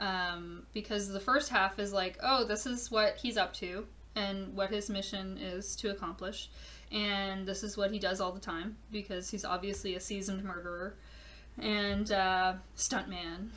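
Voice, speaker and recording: Amid noticeable background noise and audible room echo, a woman with a medium pitch speaks at a fairly slow pace. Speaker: podcast host, horror event organizer. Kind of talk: casual monologue.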